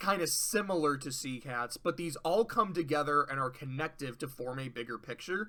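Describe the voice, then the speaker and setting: A man's bright, sharp tone at a moderate pace with ordinary pitch variation. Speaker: media reviewer. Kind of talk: casual review monologue. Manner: casual.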